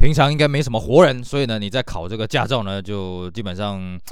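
The man's tone is animated. His words come out very fast. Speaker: podcast host. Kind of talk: casual chat.

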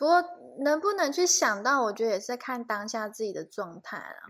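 A woman speaks at a moderate pace in a high pitch with lively intonation. Her loudness swings widely. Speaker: podcast co-host. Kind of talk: casual chat. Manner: relaxed, sleepy.

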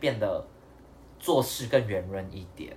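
Lively intonation marks a man's somewhat breathy voice. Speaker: podcast co-host. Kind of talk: casual chat.

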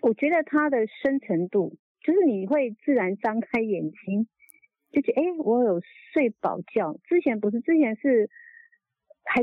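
At a moderate pace, a woman with a fairly high pitch swings very widely in pitch while keeping her loudness very even. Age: 60s. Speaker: product user testimonial caller. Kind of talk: testimony. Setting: phone call.

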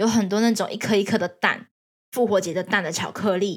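A woman with a Taiwanese accent talks at a fairly quick pace and medium pitch. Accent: Taiwanese Mandarin. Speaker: podcast host sharing working holiday experience. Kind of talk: casual solo monologue.

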